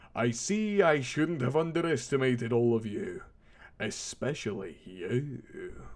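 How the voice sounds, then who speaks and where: Here a man does a put-on character voice at medium pitch. He talks at a fairly slow pace. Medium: read story.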